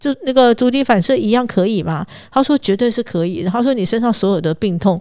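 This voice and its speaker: This woman sounds animated, with lively intonation and a fairly quick pace. The recording is very clean, with a silent background. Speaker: travel and food expert. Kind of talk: casual chat. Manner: fast when excited.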